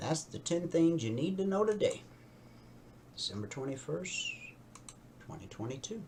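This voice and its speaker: Amid noticeable background noise and audible room echo, a man with a high voice swings very widely in pitch, leaving long, frequent pauses. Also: moderate pace, big swings in loudness. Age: 60s. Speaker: radio host and trading educator. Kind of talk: news reading with commentary and trading tutorial. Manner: conversational asides while reading news.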